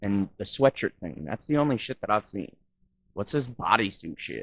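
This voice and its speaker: With an unremarkable speaking voice, a man with an American accent talks at a moderate pace in a fairly low pitch, his lively intonation paired with big swings in loudness and a dry, close sound with no echo. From Wisconsin. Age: 30s. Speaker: YouTube reaction vlogger. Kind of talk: reaction commentary.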